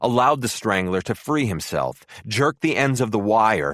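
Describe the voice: This is plain reading aloud. The text is simply read out in plain reading aloud.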